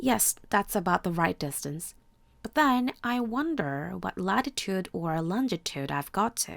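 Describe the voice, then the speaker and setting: Soft-spoken and fairly slow, the voice swings very widely in pitch, recorded dry and close with no echo. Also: woman. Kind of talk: bedtime story reading.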